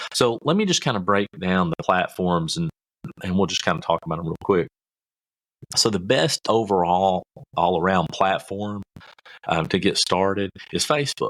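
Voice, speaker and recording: In a very clean recording with a silent background and a dry, close sound with no echo, a fairly low-pitched man with a Kentucky accent speaks at a moderate pace with ordinary pitch variation and long, frequent pauses. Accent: Southern US (Kentucky). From US South, rural Kentucky. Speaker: podcast host, marketing coach. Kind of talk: podcast tutorial. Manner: casual, folksy with fillers.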